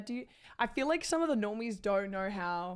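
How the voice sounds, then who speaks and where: Here a woman speaks in an animated tone at a medium pitch. Her pace is moderate. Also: very clean recording, silent background. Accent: Australian. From Australia. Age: 20s. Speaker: live streamer. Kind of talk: casual chat.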